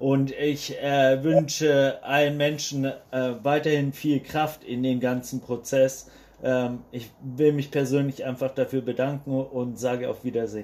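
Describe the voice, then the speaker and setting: Very slowly, a man speaks in a fairly high pitch with monotone, flat intonation. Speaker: randomly selected citizen participant, climate activist. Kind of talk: online workshop discussion.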